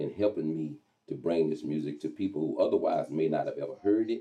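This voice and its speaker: A man with a Texas accent at a fairly quick pace. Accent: Texas accent, kept. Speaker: radio host and zydeco promoter. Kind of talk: interview.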